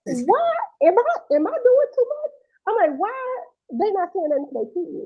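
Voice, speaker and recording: Loud and at an extremely high pitch, a woman speaks at a moderate pace with very wide pitch swings. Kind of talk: casual chat. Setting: live stream. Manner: animated.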